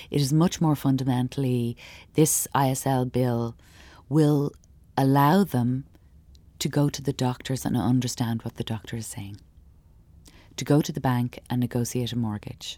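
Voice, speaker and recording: On a very clean recording with a silent background, a woman with a very deep, low pitch and a dark, mellow tone speaks at a moderate pace with fairly even intonation and long, frequent pauses. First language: Irish Sign Language. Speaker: performance artist and sign language interpreter. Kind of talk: interview. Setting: theatre.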